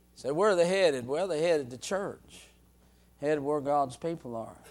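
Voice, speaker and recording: A man with a plain, everyday voice, a fairly high pitch, ordinary pitch variation and a moderate pace. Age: 60s. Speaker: preacher. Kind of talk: sermon.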